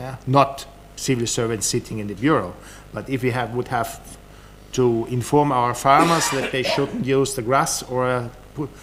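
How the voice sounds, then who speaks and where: With audible room echo and noticeable background noise, a man with a German accent speaks at a medium pitch and moderate pace, his intonation fairly even. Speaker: government official. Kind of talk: conference talk. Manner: halting, many repetitions.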